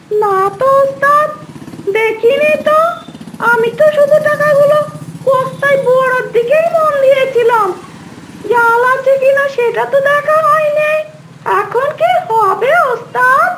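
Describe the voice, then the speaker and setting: A woman uses a cartoonish character voice at an extremely high pitch, speaking fairly slowly. Light background noise is present. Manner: whiny, anxious.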